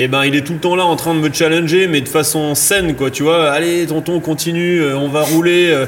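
A man speaks at a moderate pace in a fairly high pitch, with monotone, flat intonation, very even loudness and hardly any pauses, over noticeable background noise and audible room echo. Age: 30s. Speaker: freeride mountain biker and slopestyle judge. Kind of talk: casual interview. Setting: recording in a bike shop space. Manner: hesitant, many fillers.

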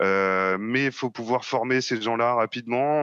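Bright and sharp in tone, a man talks with fairly even intonation. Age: 30s. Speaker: software sales manager. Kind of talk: interview. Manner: halting, with frequent fillers.

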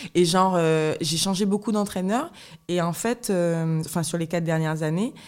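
A woman with a fairly low pitch talks at a fairly quick pace, her intonation fairly even. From Guadeloupe. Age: 20s. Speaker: professional fencer. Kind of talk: interview conversation. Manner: halting.

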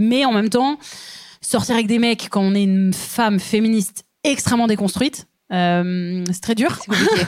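Here is a normal speaking voice at a moderate pace. The loudness stays very even, and the pitch varies in an ordinary way. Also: woman, fairly high pitch for a woman. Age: 30s. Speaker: comedian. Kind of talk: casual chat. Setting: stage with audience.

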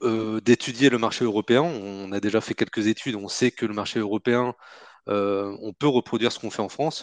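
A plain, everyday voice: a man at a medium pitch speaks at a moderate pace with fairly even intonation, the sound dry and close with no echo against a quiet background. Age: 30s. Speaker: entrepreneur, company co-founder. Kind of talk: interview.

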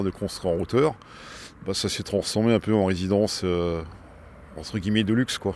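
This man speaks with a fairly low pitch. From Strasbourg, Alsace, France. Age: 60s. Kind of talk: interview testimony. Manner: hesitant, with repetitions.

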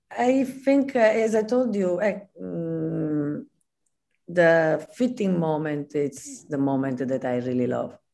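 The speaker talks at a very slow pace with an Italian accent, the pitch swinging very widely. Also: woman, very deep, low pitch for a woman. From Italy, Naples. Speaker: costume designer. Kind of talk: interview. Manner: halting.

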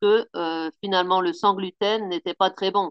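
Medium-pitched, a woman with a plain, everyday voice at a moderate pace. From Picardie, northern France. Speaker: pastry chef. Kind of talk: interview.

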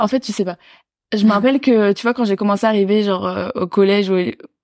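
Over a very clean recording with a silent background and a dry, close sound with no echo, a woman with a plain, everyday voice talks at a fairly quick pace, at a medium pitch with ordinary variation. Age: 20s. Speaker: public speaker and student. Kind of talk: casual interview chat.

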